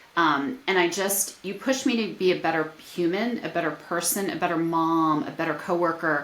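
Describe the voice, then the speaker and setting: In a room with audible echo, a woman with a fairly low pitch talks at a moderate pace, with lively intonation and hardly any pauses. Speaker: podcast host. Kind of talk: casual chat.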